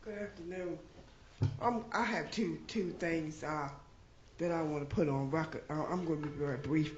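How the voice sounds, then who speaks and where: A woman's very deep, low voice at a moderate pace, with long, frequent pauses, ordinary pitch variation, noticeable background noise and audible room echo. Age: 60s. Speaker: resident giving public comment. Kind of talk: public comment at council meeting. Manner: halting, many fillers.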